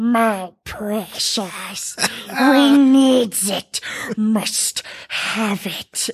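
A female-sounding voice puts on a character voice at a fairly high pitch. The pace is very slow. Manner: greedy, excited.

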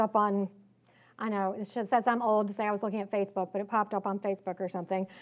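A woman with a slight Southern US accent talks very fast in an animated tone at a fairly high pitch, on a very clean recording with a silent background. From Richmond, Virginia, US South. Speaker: author and political speaker. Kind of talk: conference speech. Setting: stage with audience. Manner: casual, conversational, animated.

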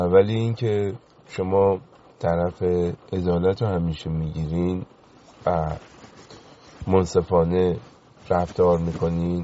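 Speaking at a very slow pace with long, frequent pauses, a man with a very deep, low pitch keeps his intonation fairly even. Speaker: caller. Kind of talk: phone-in call.

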